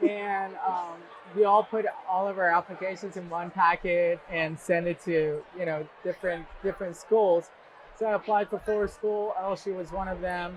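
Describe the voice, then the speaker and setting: The speaker holds a flat monotone at a moderate pace against noticeable background noise. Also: man, high pitch for a man. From Iran. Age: 30s. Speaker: university alumnus, scientist. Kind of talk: oral history interview.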